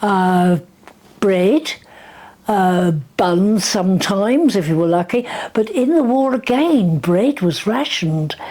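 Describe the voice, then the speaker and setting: With a very slow pace and long, frequent pauses, a woman with an English accent speaks at medium pitch, her pitch swinging very widely while her loudness stays very even over noticeable background noise. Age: 90s. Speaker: grandmother recalling wartime life. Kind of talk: casual interview.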